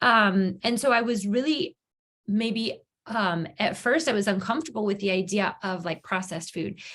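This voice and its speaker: With a normal speaking voice, a woman talks at a moderate pace in a medium pitch with ordinary pitch variation. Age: 40s. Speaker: yoga studio owner and health coach. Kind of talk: testimony. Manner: casual, many filler words.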